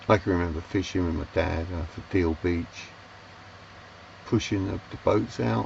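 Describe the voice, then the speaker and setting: A man with a London accent and a very deep, low voice, at a fairly slow pace, over noticeable background noise. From London, England. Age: 60s. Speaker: sailor and vlogger. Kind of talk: casual storytelling monologue. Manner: halting, many fillers and restarts.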